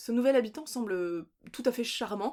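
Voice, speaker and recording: Her tone animated and her pitch high with ordinary variation, a woman speaks at a fairly quick pace on a very clean recording with a silent background. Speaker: book vlogger. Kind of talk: casual book review vlog. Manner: fast.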